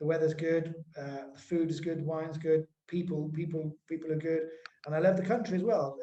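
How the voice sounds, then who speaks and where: A man with an English accent, fairly high in pitch, dark and mellow in tone, monotone and flat in intonation, at a moderate pace. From England. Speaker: webinar host. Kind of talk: webinar conversation.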